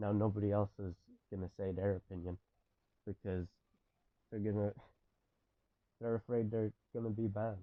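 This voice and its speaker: A shaky man's voice, fairly low in pitch, moves at a fairly quick pace with monotone, flat intonation. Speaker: gaming commentator. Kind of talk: video essay. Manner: shaky voice; impassioned.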